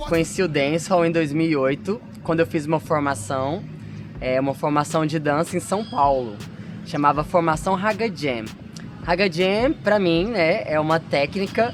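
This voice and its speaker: A man's fairly high voice with ordinary pitch variation at a moderate pace, over noticeable background noise. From Brazil, Goiás (Senador Canedo, near Goiânia). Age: 30s. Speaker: dancer and dance teacher. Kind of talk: interview testimony.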